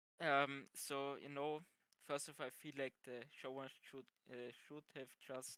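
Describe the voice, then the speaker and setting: A man's fairly high voice with a non-native accent, flat monotone intonation and a dry, close sound with no echo. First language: not English. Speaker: podcast panelist. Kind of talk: casual chat. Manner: halting.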